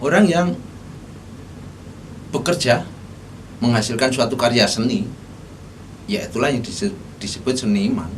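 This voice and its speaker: A man with a strong Javanese accent talks at a moderate pace with very wide pitch swings and long, frequent pauses. Noticeable background noise and audible room echo fill the recording. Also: medium pitch for a man. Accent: thick Javanese. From Solo, Central Java, Indonesia. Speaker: vlogger on art topics. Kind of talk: casual talk-style lecture. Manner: halting, with fillers and self-corrections.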